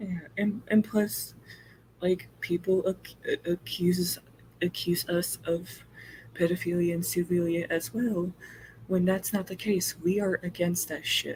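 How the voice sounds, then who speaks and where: Speaking at a fairly slow pace, a woman with an American accent has a fairly low, somewhat breathy voice and fairly even intonation. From US South, Mississippi. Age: 20s. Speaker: interview guest. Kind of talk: casual chat.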